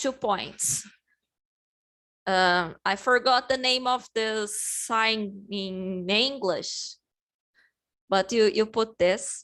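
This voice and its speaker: Speaking at a very slow pace, a woman has a Portuguese accent and a fairly high pitch. Her pitch varies in an ordinary way. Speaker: English teacher. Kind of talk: online class lesson. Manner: halting, many fillers and restarts.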